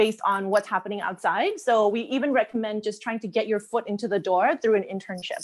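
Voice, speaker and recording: A woman's very fast speech, fairly high in pitch with ordinary pitch variation and hardly any pauses. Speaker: marketing executive presenting a webinar. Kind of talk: webinar Q&A. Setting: online webinar.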